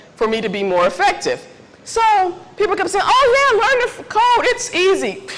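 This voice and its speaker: A loud woman's voice with very wide pitch swings comes through noticeable background noise and audible room echo. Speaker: tech mentoring speaker. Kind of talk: conference talk. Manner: casual.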